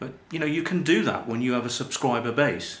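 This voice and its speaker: Audible room echo surrounds a man speaking at a moderate pace. His intonation is lively. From UK. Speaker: life coach and internet marketer. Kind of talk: promotional talk to camera. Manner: casual, hesitant with fillers.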